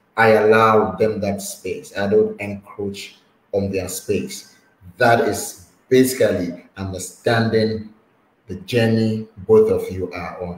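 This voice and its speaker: In a room with audible echo, a man speaks at a very slow pace with a fairly low pitch. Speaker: online talk show host. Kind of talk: interview. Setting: video call. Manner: animated, laughs often. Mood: warm, smiling, advising.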